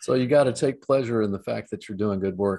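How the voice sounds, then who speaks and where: A man with a Midwestern American accent, a fairly low pitch, a dark, mellow tone, ordinary pitch variation and a moderate pace. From Ohio, US Midwest. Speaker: trial lawyer. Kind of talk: interview. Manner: halting.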